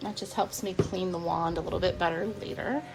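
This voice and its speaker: Music plays in the background as a woman speaks in a relaxed tone at a moderate pace. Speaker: soap maker. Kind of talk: casual talk to camera. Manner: relaxed, chatty.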